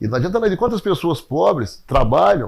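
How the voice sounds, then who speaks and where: On a very clean recording with a silent background, a man talks at a moderate pace. His voice has vocal fry and very wide pitch swings. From Brazil, Passos (Minas Gerais). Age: 60s. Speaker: sports coach and former city secretary. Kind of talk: interview testimony.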